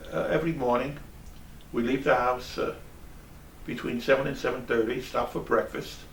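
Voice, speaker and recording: With an American accent, a man at a medium pitch speaks at a moderate pace with long, frequent pauses, sounding somewhat breathy, his intonation fairly even, and audible room echo in the recording. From New York City, Brooklyn. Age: 70s. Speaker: traveling auditor. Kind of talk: interview. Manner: halting, repeats words.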